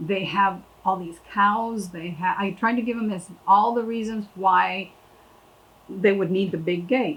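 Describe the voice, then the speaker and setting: Speaking at a fairly slow pace, a woman with an American accent has a medium-pitched, somewhat breathy voice and fairly even intonation. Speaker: landowner. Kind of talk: interview.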